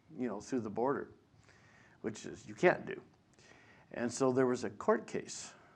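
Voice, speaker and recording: Long, frequent pauses break up this man's speech, with ordinary pitch variation. Audible room echo fills the recording. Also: medium pitch for a man, moderate pace. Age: 60s. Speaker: biblical scholar and lecturer. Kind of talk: lecture. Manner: halting.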